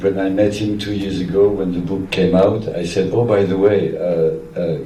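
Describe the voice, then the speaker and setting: A man with a French accent and a very deep, low pitch speaks fairly slowly with fairly even intonation, amid audible room echo and noticeable background noise. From France. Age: 60s. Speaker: music photographer. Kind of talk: public Q&A conversation.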